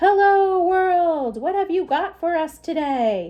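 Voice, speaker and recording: Doing a put-on character voice, a woman sounds loud and squeaky at an extremely high pitch, with lively intonation and a fairly slow pace. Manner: hearty, greeting the world.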